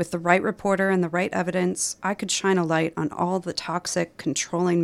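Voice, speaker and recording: A woman with a Midwestern American accent speaks at a moderate pace in a fairly low pitch, her intonation flat and monotone, on a very clean recording with a silent background. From Minnesota, US Midwest. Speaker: novelist. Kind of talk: radio interview about her book.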